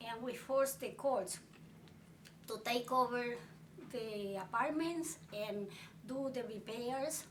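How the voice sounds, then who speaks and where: The speech comes at a very slow pace with long, frequent pauses and ordinary pitch variation, accompanied by audible room echo and noticeable background noise. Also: woman. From Puerto Rico. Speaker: tenant rights activist. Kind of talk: life story interview.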